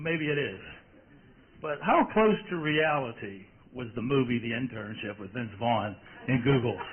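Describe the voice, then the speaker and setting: Noticeable background noise sits under a man's fairly high voice. He speaks at a moderate pace with lively intonation. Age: middle-aged. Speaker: engineer asking a question at a conference. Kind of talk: audience question at panel Q&A.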